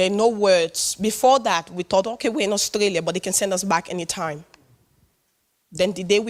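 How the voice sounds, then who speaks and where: A woman talks at a fairly quick pace with a West African accent. Her pitch sits in the medium range. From Sierra Leone. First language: not English. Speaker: public speaker. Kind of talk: personal testimony talk. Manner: animated.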